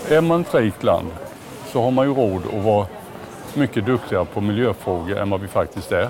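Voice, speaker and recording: A man speaks fairly quickly at a medium pitch. Background noise is noticeable. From Småland, Sweden. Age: 60s. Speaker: retail company CEO. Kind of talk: casual interview while walking. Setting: walking through a large store.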